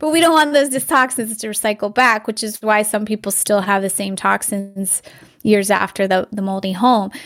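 A woman talks in a plain, everyday voice. Her pitch is fairly high, with ordinary variation. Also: moderate pace. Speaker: acupuncturist and detox educator. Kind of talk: interview chat.

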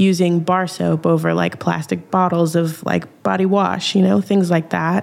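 A woman with an American accent talks at a moderate pace with very even loudness and hardly any pauses, against noticeable background noise. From Minnesota. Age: young. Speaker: artist and community organizer. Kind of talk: podcast interview.

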